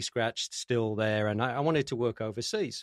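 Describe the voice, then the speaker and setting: A man talks at a moderate pace with an English accent and lively intonation. The recording is very clean, with a silent background and a dry, close sound with no echo. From UK. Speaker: construction industry association executive. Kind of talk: interview. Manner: halting, many fillers.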